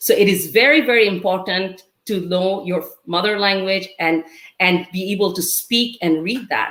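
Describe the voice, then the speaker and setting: Speaking at a fairly quick pace, a woman with a Bengali accent has a fairly low pitch and ordinary pitch variation. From Bangladesh. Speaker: university teacher and community advocate. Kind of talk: webinar speech.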